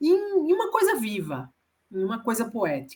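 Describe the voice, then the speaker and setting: A woman speaks with a northeastern Brazilian accent. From Northeast Brazil. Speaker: author. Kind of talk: interview.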